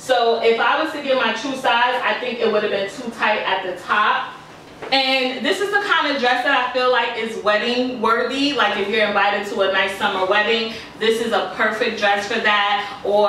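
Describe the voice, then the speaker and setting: A woman talks at a moderate pace with fairly even intonation. Light background noise and audible room echo are present. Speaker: fashion vlogger. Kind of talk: casual haul review. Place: home room. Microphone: camera far.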